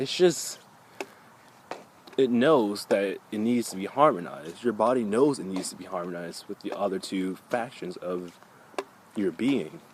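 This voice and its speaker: Long, frequent pauses break up a man's speech over noticeable background noise. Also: moderate pace. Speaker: spiritual vlogger. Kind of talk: casual monologue vlog. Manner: halting, self-correcting.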